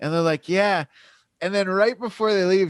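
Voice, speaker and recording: This is a man's voice. His pitch is high. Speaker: podcast host and comedian. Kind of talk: casual chat. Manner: chill, laid-back.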